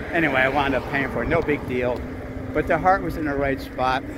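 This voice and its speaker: A man's voice, with a dry sound with no echo and noticeable background noise. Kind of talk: casual vlog chat. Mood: warm, grateful. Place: street. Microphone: phone near.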